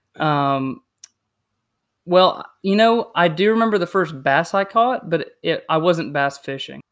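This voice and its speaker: A man with an American accent and a high pitch speaks at a fairly slow pace with lively intonation, in a very clean recording with a silent background. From South Carolina. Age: 20s. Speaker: fishing podcast co-host. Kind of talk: casual chat.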